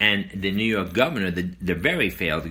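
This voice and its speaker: Talking at a fairly quick pace, a man with an American accent has a bright, sharp tone, vocal fry and ordinary pitch variation. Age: 70s. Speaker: podcast host. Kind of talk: political commentary monologue. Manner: hesitant, with fillers and repetitions.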